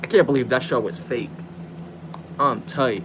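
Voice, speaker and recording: A man is heard over noticeable background noise. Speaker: gaming livestreamer. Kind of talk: casual chat. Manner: animated.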